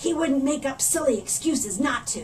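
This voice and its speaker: Putting on a growling character voice, a woman speaks with a high pitch, ordinary pitch variation and a moderate pace over clear background noise. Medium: read story. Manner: sneering, sly.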